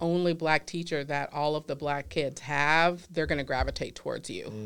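A woman speaks at a moderate pace in a very deep, low voice with an American accent, her intonation flat and monotone. The recording is very clean, with a silent background. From US South, Louisiana. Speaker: clinical psychologist. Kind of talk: casual interview chat.

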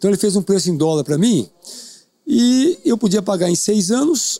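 A man's voice sits high in pitch yet has a dark, mellow tone. The sound is dry and close with no echo. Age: 60s. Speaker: tennis player and coach. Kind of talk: casual interview.

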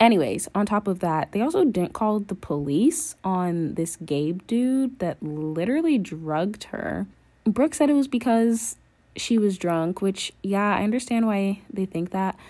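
With an American accent, a woman speaks fairly slowly at a medium pitch in a dark, mellow tone, her pitch swinging very widely, on a very clean recording with a silent background. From North Carolina. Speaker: podcast host reviewing a TV series. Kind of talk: casual solo commentary. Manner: animated, enthusiastic.

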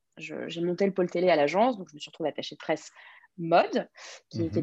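A woman speaks at a very fast pace with a fairly low pitch. Her tone is dark and mellow, with vocal fry. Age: 20s. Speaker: press agent. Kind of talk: interview.

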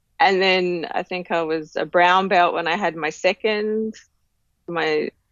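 Speaking with an Australian accent, a woman keeps a medium pitch, a fairly slow pace and fairly even intonation. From Tasmania, Australia. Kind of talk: interview.

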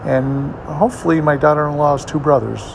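This man has a fairly high pitch and talks at a moderate pace. The room echo is audible, and background noise is noticeable. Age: 60s. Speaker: video blogger. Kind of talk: casual personal update monologue. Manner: casual with frequent filler words.

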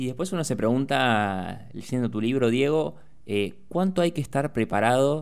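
A man in a Rioplatense accent with lively intonation. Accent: Argentine Rioplatense Spanish. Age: 20s. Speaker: radio host. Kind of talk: radio interview. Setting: radio studio.

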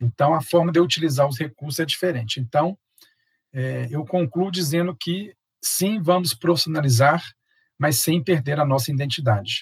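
Somewhat breathy, the man's voice keeps a moderate pace and ordinary pitch variation. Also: fairly high pitch for a man. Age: 40s. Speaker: project management instructor and consultant. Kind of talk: interview.

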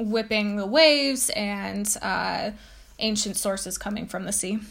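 A woman speaking at a very slow pace, somewhat breathy. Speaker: podcast host. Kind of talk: educational talk, with a poem read aloud. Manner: explanatory, teacher-like, with frequent um and uh fillers.

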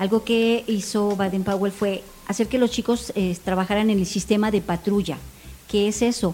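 Her loudness stays very even as a woman speaks at a moderate pace, medium in pitch with monotone, flat intonation. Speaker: scout leader. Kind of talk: casual chat.

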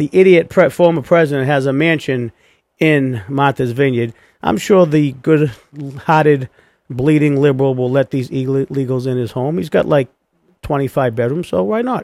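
With an ordinary speaking voice, a man talks at a fairly high pitch with ordinary pitch variation in a dry, close sound with no echo. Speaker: podcast host. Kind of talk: angry political rant. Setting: studio. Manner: loud, indignant, sarcastic; fast, heated, mocking.

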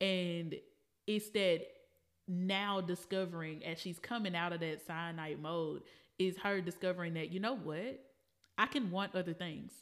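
With an ordinary speaking voice, a woman talks at a fairly slow pace in a fairly low pitch and fairly even intonation, captured in a very clean recording with a silent background. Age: 30s. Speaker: podcast co-host. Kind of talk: casual chat.

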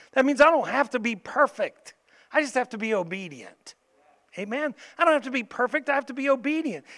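In a very clean recording with a silent background, a raised, projected voice with a bright, sharp tone moves at a moderate pace with lively intonation. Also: man. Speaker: pastor. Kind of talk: sermon with fervent prayer. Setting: church. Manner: fervent, earnest, impassioned; warm, encouraging.

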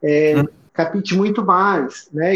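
In a high voice, a man speaks at a very slow pace with fairly even intonation. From Roraima, Brazil. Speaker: psychologist and LGBT activist. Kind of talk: interview.

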